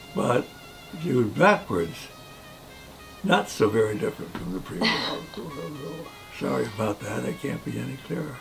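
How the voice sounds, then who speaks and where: Over clear background music, a man speaks at a moderate pace with very wide pitch swings. He takes long, frequent pauses. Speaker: war veteran. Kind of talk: interview answer. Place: home room.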